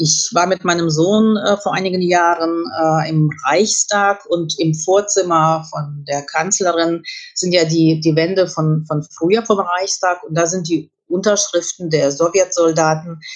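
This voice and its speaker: The speaker uses a plain, everyday voice, talking at a fairly slow pace with fairly even intonation. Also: woman, fairly low pitch for a woman. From Kyrgyzstan (Russian-German family). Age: 50s. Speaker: journalist and historian. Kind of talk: interview.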